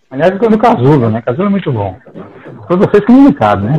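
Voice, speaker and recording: Pitched high, a man's voice moves in very wide pitch swings. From Brazil, Paraíba (Campina Grande). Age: 50s. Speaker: psychologist and professor. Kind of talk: casual discussion.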